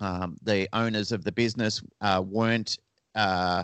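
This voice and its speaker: A man speaks at a fairly low pitch with an Australian accent. The recording is dry and close with no echo. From Australia, Melbourne. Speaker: dog trainer and pet resort manager. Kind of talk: interview.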